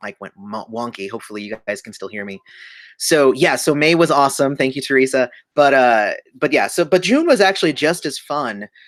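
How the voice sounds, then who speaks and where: On a very clean recording with a silent background, a man speaks at a fairly high pitch and a moderate pace. His intonation is lively. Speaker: YouTube channel host. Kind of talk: livestream chat. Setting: livestream at computer.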